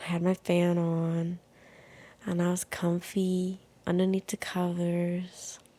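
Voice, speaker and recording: Very slow, soft-spoken delivery with a dark, mellow tone and monotone, flat intonation. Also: woman. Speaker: podcast host. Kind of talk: casual chat. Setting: at home in bed, window open.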